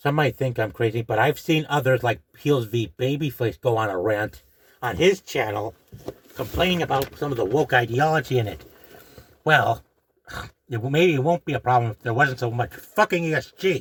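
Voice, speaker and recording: The speaker is a man with a medium-pitched voice. His intonation is lively. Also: moderate pace. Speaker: YouTube commentator. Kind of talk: rant. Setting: in a closet at home. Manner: hushed, keeping voice down; agitated.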